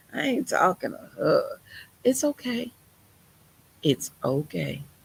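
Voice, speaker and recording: A woman talks at a very slow pace with vocal fry. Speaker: preacher. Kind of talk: sermon. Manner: animated.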